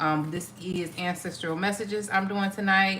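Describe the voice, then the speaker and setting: A woman speaks with an American accent. There is noticeable background noise. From Ohio, US Midwest. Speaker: tarot reader. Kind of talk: live stream chat. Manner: casual, hesitant with fillers.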